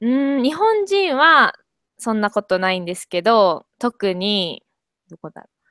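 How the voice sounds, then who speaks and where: A woman's fairly high, bright and sharp voice at a fairly slow pace, with very wide pitch swings and big jumps in loudness, in a dry sound with no echo and a quiet background. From Kobe, Japan. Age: 20s. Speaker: university student with part-time job. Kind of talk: casual language-practice conversation. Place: home room. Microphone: earbuds.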